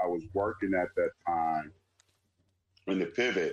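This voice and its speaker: The recording is dry and close, without any echo. A man talks at a moderate pace. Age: 50s. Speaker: sports league founder and entrepreneur. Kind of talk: casual interview.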